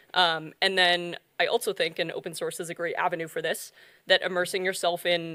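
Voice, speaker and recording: A woman talks at a fairly quick pace with an American accent, in a normal speaking voice. Her pitch is fairly low, and the recording is very clean with a silent background. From US South, North Carolina. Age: 20s. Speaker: software developer, conference speaker. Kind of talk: conference talk.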